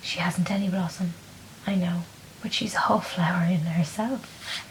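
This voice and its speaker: Soft-spoken and at a moderate pace, the voice comes through noticeable background noise. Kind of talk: bedtime story reading.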